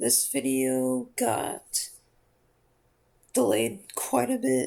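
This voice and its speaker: His pitch varies in an ordinary way as the man speaks. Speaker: heart surgery patient. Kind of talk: casual talk to camera about personal health story. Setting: built-in laptop microphone, low audio quality. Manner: hesitant, with stutters and fillers.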